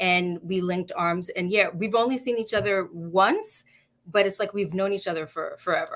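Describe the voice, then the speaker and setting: A woman with a New York accent at a moderate pace. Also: medium pitch for a woman, ordinary pitch variation. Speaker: nonprofit health organization CEO. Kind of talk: live-streamed interview. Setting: Facebook Live video stream.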